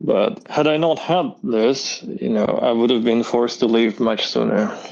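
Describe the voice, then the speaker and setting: This man speaks at a fairly slow pace. His loudness stays very even. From Azerbaijan (Baku), then Moscow, Russia. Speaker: illustrator and animator. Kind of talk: casual interview chat.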